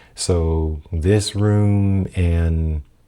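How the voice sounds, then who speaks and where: Soft-spoken, a man with a very deep, low pitch keeps his intonation fairly even. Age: 40s. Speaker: podcaster and photographer. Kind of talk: casual vlog talk. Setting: home apartment room. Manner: soft-spoken, low; halting, many fillers. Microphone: new audio setup being tested.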